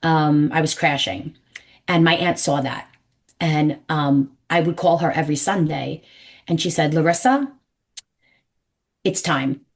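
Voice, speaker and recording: In a New York accent, a woman with a very deep, low pitch talks at a fairly slow pace in an animated tone, with long, frequent pauses. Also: ordinary pitch variation. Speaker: numerologist. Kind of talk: interview. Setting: podcast.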